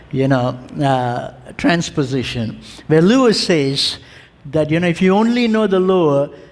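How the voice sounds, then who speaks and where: Background noise is noticeable. A man talks over it. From India, family from Kerala. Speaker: theology lecturer. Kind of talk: lecture. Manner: frequent fillers, hesitant.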